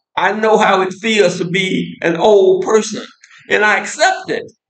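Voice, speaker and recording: This man speaks at a fairly slow pace in a high pitch, with an American accent. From United States. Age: 70s. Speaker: political commentator. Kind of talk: casual monologue. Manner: halting, with frequent repetitions.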